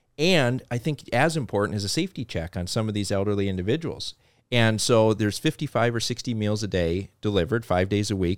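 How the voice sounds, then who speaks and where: A man with a slight North Dakota accent, fairly low in pitch with ordinary pitch variation, at a fairly quick pace, on a very clean recording with a silent background and a dry, close sound with no echo. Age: 30s. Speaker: car dealership executive. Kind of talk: interview.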